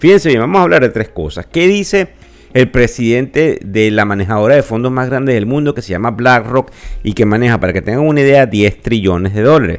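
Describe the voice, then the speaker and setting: Over music in the background, a man talks at a fairly quick pace with medium pitch and lively intonation. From Venezuela. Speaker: financial podcast host. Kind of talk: podcast market commentary. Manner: conversational with filler hesitations.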